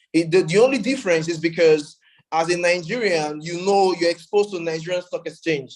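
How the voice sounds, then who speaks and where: Speaking at a high pitch, a man shows ordinary pitch variation. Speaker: conference speaker on blockchain. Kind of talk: conference panel talk. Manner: halting, many fillers and repetitions.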